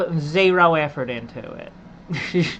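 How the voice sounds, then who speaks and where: Her voice is very deep and low, bright and sharp in tone. This woman speaks in an Appalachian accent. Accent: native Appalachian English. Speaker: game streamer. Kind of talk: casual chat. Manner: halting; repetitive.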